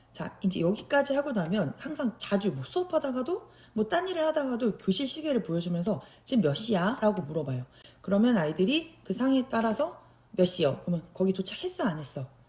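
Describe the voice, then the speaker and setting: Using vocal fry and a dark, mellow tone, a woman talks at a fairly quick pace with a fairly high pitch and very wide pitch swings. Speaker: special education teacher. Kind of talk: tutorial.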